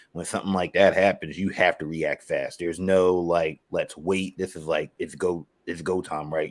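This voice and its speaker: The speaker has a strong Philadelphia accent. The recording is very clean, with a silent background. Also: man. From Philadelphia, US. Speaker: sports writer and podcaster. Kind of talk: casual sports podcast chat. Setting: podcast recording.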